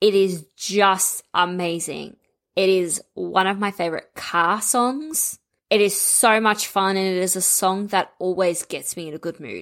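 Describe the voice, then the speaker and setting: Recorded very cleanly against a silent background, a woman at a medium pitch speaks fairly slowly with ordinary pitch variation in a normal speaking voice. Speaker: podcast host. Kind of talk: casual chat.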